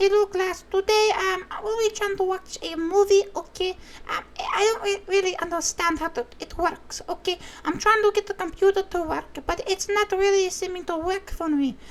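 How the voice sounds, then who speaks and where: A female-sounding put-on character voice in a Ukrainian accent, extremely high in pitch, at a moderate pace. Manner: flustered.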